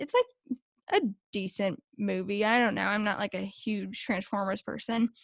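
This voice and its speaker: A woman with a fairly high pitch and ordinary pitch variation talks at a moderate pace in an ordinary speaking voice, recorded very cleanly against a silent background with a dry, close sound and no echo. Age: 20s. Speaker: social media content strategist for a sports team. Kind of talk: casual interview chat.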